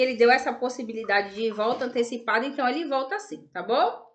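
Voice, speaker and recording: This woman talks in a high pitch. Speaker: religious video host. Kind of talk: casual religious talk to camera. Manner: halting.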